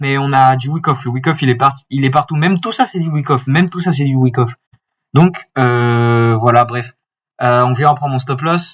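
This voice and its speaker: Somewhat breathy, a man is speaking. His pitch variation is ordinary. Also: medium pitch for a man, moderate pace. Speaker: forex trader. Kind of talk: tutorial. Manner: halting, stammering.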